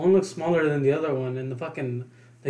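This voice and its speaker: A man talks at a very fast pace in a fairly high pitch, with ordinary pitch variation and noticeable background noise. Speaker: co-host. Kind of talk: casual banter.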